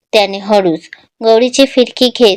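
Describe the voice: A quiet background behind plain reading aloud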